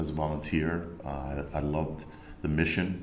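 With an American accent, a man speaks in a very deep, low pitch and a monotone, flat intonation. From Rhode Island, US. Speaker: business coach. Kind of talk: interview. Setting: podcast studio. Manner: hesitant, many fillers.

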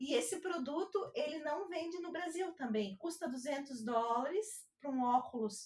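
The speech runs at a fairly slow pace with hardly any pauses. Its pitch swings very widely. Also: woman, high pitch for a woman. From Santa Catarina, southern Brazil. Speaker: lawyer. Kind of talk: interview.

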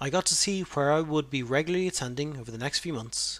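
Speaking with an Irish accent, a man talks at a fairly quick pace and fairly high pitch with ordinary pitch variation. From Ireland. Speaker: podcaster sharing personal cancer experience. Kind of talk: personal narration.

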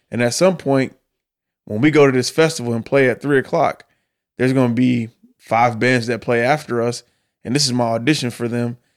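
Speaking with an American accent, a man uses a medium pitch at a fairly quick pace but leaves long, frequent pauses. The recording is very clean, with a silent background. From US Midwest, Detroit. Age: 30s. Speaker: professional drummer. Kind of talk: casual interview chat. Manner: animated.

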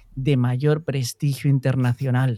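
A man speaks in a dark, mellow tone that is somewhat breathy. The sound is dry and close, with no echo. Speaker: podcast host. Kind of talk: casual chat; scripted intro.

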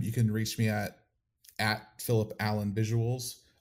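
An unremarkable speaking voice moves at a fairly slow pace on a very clean recording with a silent background. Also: man. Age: 30s. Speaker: AV technician and former church drummer. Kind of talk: interview testimony.

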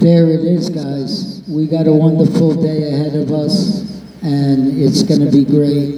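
Noticeable background noise surrounds a man who speaks fairly slowly in a fairly high voice, with hardly any pauses. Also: ordinary pitch variation. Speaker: event host. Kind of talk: live event emceeing. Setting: outdoors with live audience.

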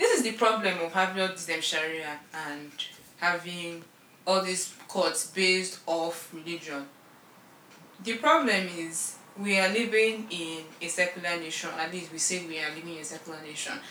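A woman's fairly low voice at a moderate pace, with big swings in loudness and noticeable background noise. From Nigeria. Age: young. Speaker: podcast co-host. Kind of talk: casual chat. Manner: animated.

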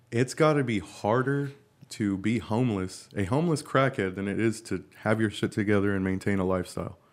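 A fairly low-pitched man's voice with an American accent, very fast in pace, with ordinary pitch variation. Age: 20s. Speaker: podcast host. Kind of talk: casual chat; podcast intro monologue.

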